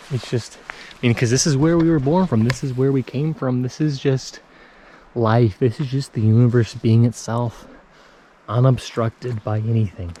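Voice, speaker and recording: An ordinary speaking voice from a man, at medium pitch with ordinary pitch variation. He talks at a moderate pace. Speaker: spiritual self-development vlogger. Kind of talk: casual vlog monologue while walking. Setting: outdoors in foggy nature.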